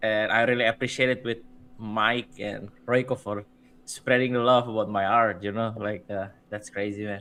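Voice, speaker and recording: Monotone, flat intonation from a man at medium pitch and a moderate pace. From Indonesia. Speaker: visual artist and streamer. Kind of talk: casual chat. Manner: halting.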